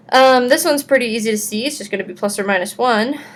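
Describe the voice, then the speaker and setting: A woman talks at a fairly quick pace, and her voice picks up audible room echo. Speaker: math teacher. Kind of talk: recorded lecture. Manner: casual.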